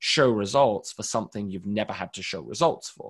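Over a quiet background, a man with an unremarkable speaking voice talks at a moderate pace with lively intonation. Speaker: marketing director, SEO expert. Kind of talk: webinar presentation, Q&A answers. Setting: video call webinar.

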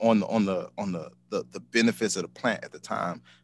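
A man with an American accent, fairly low in pitch, at a fairly quick pace, in a plain, everyday voice. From Chicago, Illinois. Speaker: ice cream business owner. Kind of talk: casual interview.

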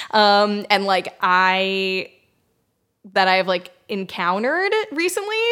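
With an American accent, a woman of medium pitch speaks at a very slow pace in a bright, sharp tone, her intonation fairly even and broken by long, frequent pauses. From US Northeast, suburbs of Boston. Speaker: film distribution worker and screenwriter. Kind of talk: casual interview chat.

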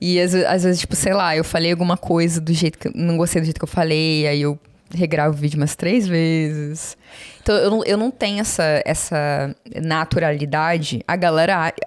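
A woman at a fairly low pitch, speaking at a moderate pace with fairly even intonation and very even loudness. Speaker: study-abroad consultant and influencer. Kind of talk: casual chat. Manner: calm and normal off camera.

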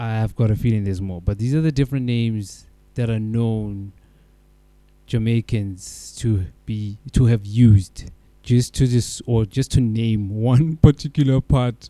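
A dark, mellow tone at a moderate pace, with fairly even intonation. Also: man. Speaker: DJ and music show host. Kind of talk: casual on-air DJ links between music tracks. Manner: laid-back, chatty, with filler words and self-corrections.

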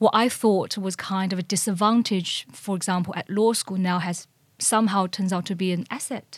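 Fairly even intonation and a moderate pace mark this somewhat breathy voice with a Chinese accent. The recording is very clean, with a silent background. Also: woman, medium pitch for a woman. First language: Mandarin Chinese. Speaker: corporate lawyer. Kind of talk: interview.

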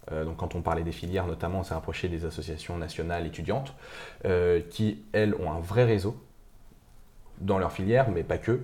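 A somewhat breathy man's voice at a fairly quick pace, with ordinary pitch variation. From Paris region, France (Montmorency). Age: 20s. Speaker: student entrepreneur, founder of a media startup. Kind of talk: casual interview. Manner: hesitant, many fillers.

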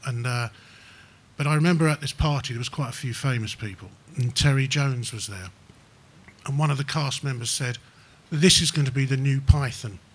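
A man speaks at a fairly quick pace, somewhat breathy, with ordinary pitch variation. Long, frequent pauses break up his speech. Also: medium pitch for a man. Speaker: comedian and actor guest. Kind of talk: casual chat interview before live audience. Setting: stage with live audience.

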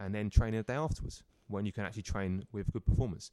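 A man with a London accent speaks at a very fast pace in a fairly low pitch, his tone dark and mellow with ordinary pitch variation. The recording is very clean with a silent background and a dry, close sound with no echo. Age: 30s. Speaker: personal trainer. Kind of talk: casual chat. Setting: studio.

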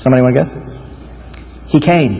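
There is noticeable background noise behind this speaker. He is a man with an American accent. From Florida, US. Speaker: pastor. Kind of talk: sermon.

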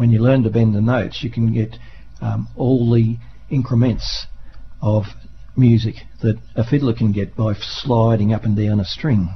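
Pausing long and often, a man with an Australian accent speaks at a moderate pace and medium pitch, somewhat breathy and with fairly even intonation. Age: 60s. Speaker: volunteer radio presenter and harmonica player. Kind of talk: radio interview. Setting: radio studio.

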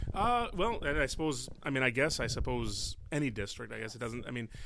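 A man speaks with a Chicago accent. His pace is moderate. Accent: Chicago-area American. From US Midwest (Illinois, Palatine). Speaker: French teacher and school board member. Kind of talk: interview conversation. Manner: animated.

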